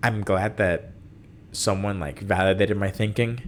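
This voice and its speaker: A man with a non-native accent talks at a moderate pace in a very deep, low voice with fairly even intonation. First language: not English. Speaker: podcast host. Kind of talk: casual solo podcast chat.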